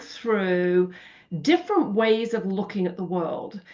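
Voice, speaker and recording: A woman is speaking. She has a British accent. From England, Birmingham. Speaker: finance industry leader and nonprofit founder. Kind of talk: interview.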